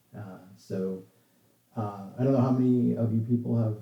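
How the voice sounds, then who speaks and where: Speaking at a fairly slow pace, a man with a fairly low pitch has a dark, mellow tone that is somewhat breathy. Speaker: software developer giving a talk. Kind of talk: casual chat with online audience; technical presentation. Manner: halting, many fillers.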